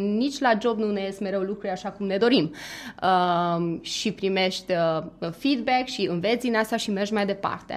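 Here a woman talks at a moderate pace with ordinary pitch variation. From Romania, Transylvania, outside Cluj. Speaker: corporate manager. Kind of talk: radio interview. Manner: hesitant, many fillers.

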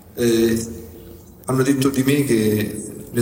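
Noticeable background noise sits behind a man's voice. He speaks at medium pitch with fairly even intonation. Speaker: pizza chef. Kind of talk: press conference remarks.

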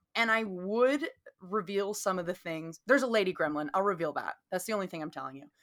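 Speech moves at a fairly quick clip with a Southern US accent. The intonation is lively, and the loudness swings widely. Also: woman, medium pitch for a woman. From US South. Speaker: podcast co-host. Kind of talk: casual chat.

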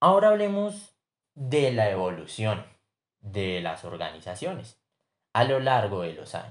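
A man talks at a fairly slow pace, his loudness swinging widely. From Colombia, Bogotá. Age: 20s. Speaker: business student. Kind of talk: class assignment podcast presentation.

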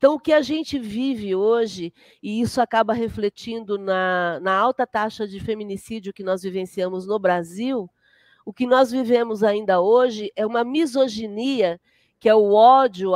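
With a normal speaking voice, a woman talks at a moderate pace with a fairly high pitch and ordinary pitch variation, in a dry, close sound with no echo and a quiet background. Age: 50s. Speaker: spiritist centre leader and therapist. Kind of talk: casual interview.

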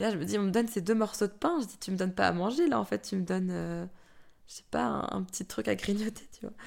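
A woman talks at a very fast pace in an animated tone. Her loudness swings widely. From France. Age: 30s. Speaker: mother sharing birth story. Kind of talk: testimony. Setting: late evening recording.

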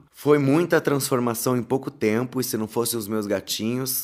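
A man speaks. His tone is animated. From Paraná countryside, Brazil. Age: 30s. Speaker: podcast host and content creator. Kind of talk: storytelling monologue.

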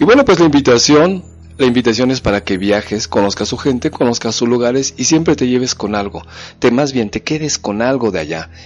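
Music plays behind a man speaking at a fairly quick pace. His pitch is medium and his intonation lively. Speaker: psychologist radio host. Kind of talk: radio talk monologue.

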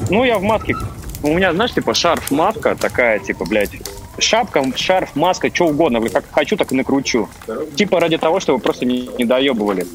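Over noticeable background noise, a man with a fairly high voice keeps very even loudness at a moderate pace while his pitch swings very widely. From Estonia. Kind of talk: casual chat. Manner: animated.

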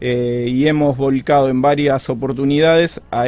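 Fairly even intonation marks this man's unremarkable speaking voice. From Argentina, Santa Fe province (Rosario/Casilda). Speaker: architect. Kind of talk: radio interview.

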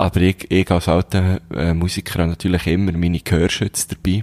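A man with a very deep, low pitch speaks at a fairly quick pace. The recording is very clean, with a silent background. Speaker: podcast co-host. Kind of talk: casual chat.

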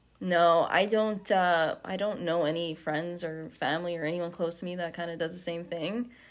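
At a moderate pace, a woman speaks in an ordinary speaking voice with a fairly low pitch. Her intonation is fairly even, and the background is quiet. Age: 20s. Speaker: insurance worker sharing mental health story. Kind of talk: personal testimony.

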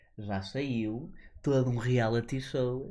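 A man speaks at a medium pitch in a dark, mellow tone that is somewhat breathy. Audible room echo surrounds his voice. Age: 20s. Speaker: podcast co-host. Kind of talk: casual chat. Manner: animated.

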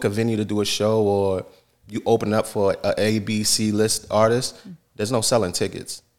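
In a New York accent, a man speaks at a moderate pace with a fairly low pitch and monotone, flat intonation, in a very clean recording with a silent background. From Yonkers, New York, US. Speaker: hip hop artist. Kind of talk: interview.

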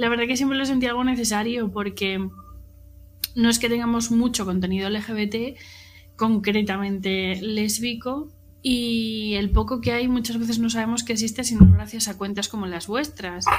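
Somewhat breathy and fairly high in pitch, a woman with a Spanish accent keeps a fairly even intonation amid audible room echo. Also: moderate pace. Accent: Peninsular Spanish. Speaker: social media content creator. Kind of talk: casual chat.

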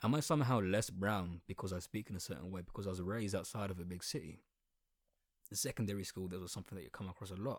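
Speaking very fast with an Essex accent, a man has a very deep, low pitch and ordinary pitch variation on a very clean recording with a silent background. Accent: Essex accent with slight London twang. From southeast England. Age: 20s. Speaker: podcaster. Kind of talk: monologue. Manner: animated.

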